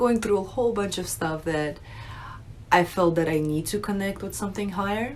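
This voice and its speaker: A woman with an American accent and ordinary pitch variation, in audible room echo. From Russia, raised in the US from age nine. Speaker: religious video creator, convert. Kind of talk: unscripted personal testimony. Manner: casual, conversational with fillers.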